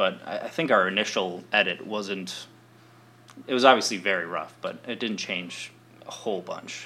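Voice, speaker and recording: A man talks at a fairly slow pace with an American accent and a normal speaking voice. His pitch is fairly low, with ordinary variation. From Wisconsin, Appleton. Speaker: documentary filmmaker. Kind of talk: interview.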